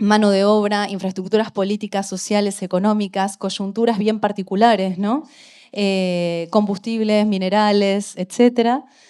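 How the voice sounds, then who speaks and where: In a monotone, flat delivery, a woman speaks at a fairly slow pace with a medium pitch and a dark, mellow tone. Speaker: art historian, interviewer. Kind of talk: interview introduction. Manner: hesitant, many fillers.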